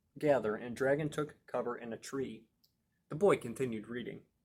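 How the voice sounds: The speaker reads in a natural reading voice with ordinary pitch variation, and the background is quiet.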